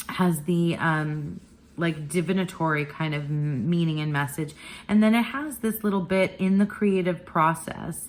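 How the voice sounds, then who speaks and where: This woman's voice sits fairly low in pitch. She talks at a moderate pace with ordinary pitch variation. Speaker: tarot and oracle content creator. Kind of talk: casual monthly review vlog. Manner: halting, many fillers and repeats.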